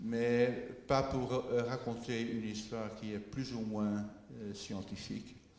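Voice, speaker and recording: Very slow speech in a Dutch accent, with fairly even intonation, audible room echo and noticeable background noise. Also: man. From Netherlands. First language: Dutch (speaking French). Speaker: biotech company director. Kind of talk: conference presentation. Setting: meeting with audience. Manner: slow, deliberate for interpreter; halting with fillers.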